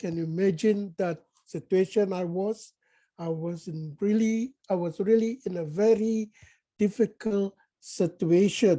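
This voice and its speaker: A woman at a fairly slow pace, medium in pitch, with ordinary pitch variation and a dark, mellow tone. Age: 60s. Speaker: toastmasters club member. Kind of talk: impromptu speech.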